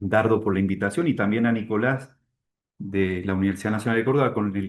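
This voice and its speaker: Fairly low-pitched man with fairly even intonation against a quiet background. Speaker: university international relations director. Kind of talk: presentation.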